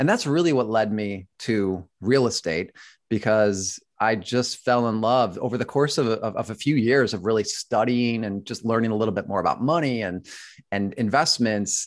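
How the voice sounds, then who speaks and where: In a normal speaking voice with an American accent, a man speaks at a moderate pace and medium pitch with ordinary pitch variation against a quiet background. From Buffalo, New York. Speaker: real estate investor, former actor. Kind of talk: interview.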